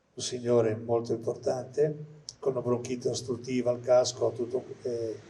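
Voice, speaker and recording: The voice is dark, mellow and somewhat breathy, with monotone, flat intonation at a moderate pace and hardly any pauses. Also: man, medium pitch for a man. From Liguria, Italy. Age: old. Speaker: retired pediatrician. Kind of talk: testimony.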